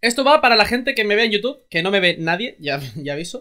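The man's voice is high-pitched, with a bright, sharp tone. His pitch swings widely.

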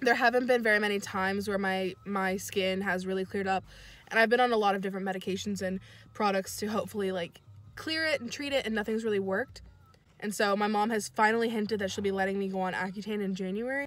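A woman talks at a very fast pace with fairly even intonation, the sound dry with no echo. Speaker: vlogger. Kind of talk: casual vlog chat. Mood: open, hopeful. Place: car. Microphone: phone near.

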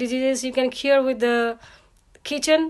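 A woman speaks in a high voice. The background is quiet. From Nepal. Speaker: client testimonial giver. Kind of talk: testimony. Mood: grateful, earnest. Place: home room. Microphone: phone near.

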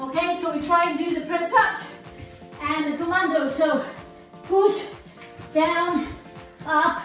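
A woman speaks at an extremely high pitch and a very slow pace. The room echo is audible, and faint music plays in the background. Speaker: fitness instructor. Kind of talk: workout instruction. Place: gym. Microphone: camera far.

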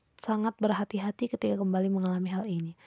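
A woman's somewhat breathy, very fast delivery in a monotone, flat intonation. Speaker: psychology student. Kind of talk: class presentation.

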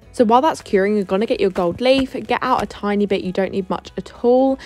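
A woman speaks at a fairly high pitch with ordinary pitch variation and hardly any pauses. Music plays in the background. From Essex, England. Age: 20s. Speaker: beauty therapist. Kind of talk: tutorial voice-over. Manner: casual.

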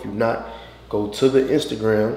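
Light background noise and audible room echo accompany a man's speech. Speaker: vlogger. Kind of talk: casual vlog chat. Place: bathroom. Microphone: camera far.

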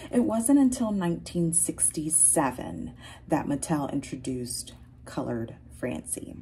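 A woman with a very deep, low pitch speaks in a dark, mellow, somewhat breathy tone with lively intonation over light background noise. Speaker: doll collector vlogger. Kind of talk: casual vlog chat. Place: home room. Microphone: phone near.

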